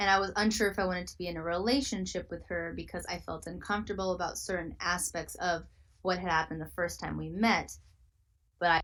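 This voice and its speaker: A woman speaks at a very fast pace with a fairly low pitch. Vocal fry runs through her voice. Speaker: livestreamer answering chat questions. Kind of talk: livestream Q&A reading chat.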